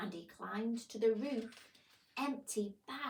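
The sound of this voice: A voice reads in an unforced way. Its pitch varies an ordinary amount.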